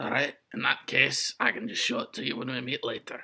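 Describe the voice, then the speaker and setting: A raspy, put-on character voice at low-to-middle pitch rattles along at a fairly quick pace. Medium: actual play.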